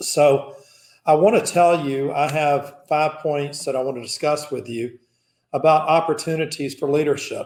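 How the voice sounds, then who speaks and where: This man talks at a moderate pace with a fairly high pitch. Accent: Southern US. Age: 60s. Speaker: business founder and executive. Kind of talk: keynote speech.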